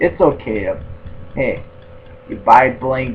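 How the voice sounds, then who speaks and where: Mumbling at a very slow pace, a man talks. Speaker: gaming YouTuber. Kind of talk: casual video tutorial monologue. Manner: halting, repetitive.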